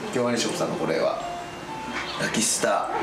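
A man speaks over loud background noise. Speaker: voice actor. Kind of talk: TV reporter segment. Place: shop. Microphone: phone near.

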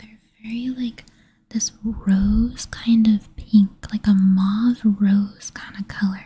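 Whispering and soft-spoken, a woman speaks at a very slow pace. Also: big swings in loudness. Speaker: ASMR creator. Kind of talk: ASMR product review, quiet talk to camera. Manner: soft-spoken, whispery. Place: home room. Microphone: studio mic.

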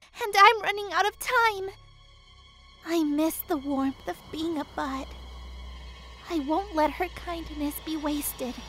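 A put-on character voice speaks at a high pitch and a fairly slow pace, with an anxious tone. Long, frequent pauses break it up over clear background noise. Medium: dub. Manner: anxious, determined.

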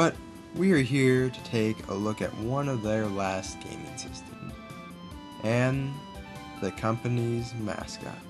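Speaking at a very slow pace, a man leaves long, frequent pauses. His medium-pitched voice has lively intonation, with music in the background. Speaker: let's play commentator. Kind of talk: documentary-style intro narration. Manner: soft-spoken.

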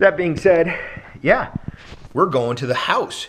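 A man does the talking. He keeps a moderate pace. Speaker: snowboard vlogger. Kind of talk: casual vlog chat. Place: home room. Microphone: phone near.

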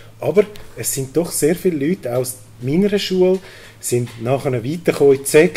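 A man speaks with a Zurich accent. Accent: Swiss German (Zurich). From Switzerland, Zurich region. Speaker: cantonal politician. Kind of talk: panel debate. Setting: stage with audience. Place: hall. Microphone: handheld.

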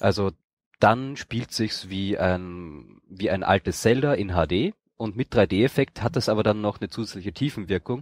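The speech comes in an unremarkable speaking voice with ordinary pitch variation at a fairly slow pace. The sound is dry and close, with no echo. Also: man, fairly low pitch for a man. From Austria. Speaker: gaming podcaster, event reporter. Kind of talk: casual chat.

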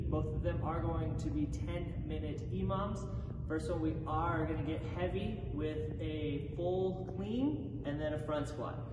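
A man speaks over noticeable background noise. The room adds an audible echo. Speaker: fitness coach. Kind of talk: workout explanation to camera. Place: gym. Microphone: camera far.

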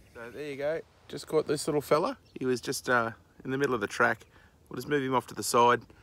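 A man's bright, sharp tone at a fairly quick pace.

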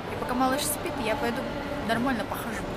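A woman's voice over loud background noise. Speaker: vlogger. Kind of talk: casual vlog chat. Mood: relaxed, chatty. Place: shop. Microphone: phone near.

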